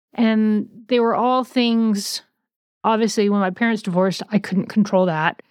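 An ordinary speaking voice at very even loudness, in a very clean recording with a silent background. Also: woman, fairly high pitch for a woman, fairly even intonation, moderate pace. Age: 50s. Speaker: podcast host in eating disorder recovery. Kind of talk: personal testimony.

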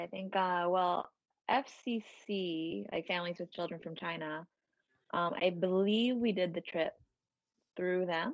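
A woman with a New York accent speaks at a very slow pace in a medium pitch, with ordinary pitch variation against a quiet background. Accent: New York area American. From US Northeast, Westchester County, New York. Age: 20s. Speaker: dancer and personal trainer. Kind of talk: casual interview chat. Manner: laughs often.

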